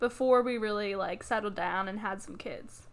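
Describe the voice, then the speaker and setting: A woman speaks in a plain, everyday voice at a moderate pace with ordinary pitch variation. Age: 20s. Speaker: podcast guest, host's fiancee. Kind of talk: casual chat.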